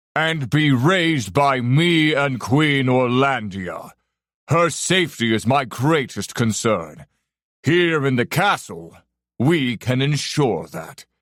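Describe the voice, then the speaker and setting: Putting on a character voice, a man speaks fairly slowly at a medium pitch on a very clean recording with a silent background. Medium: read story. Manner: commanding, booming.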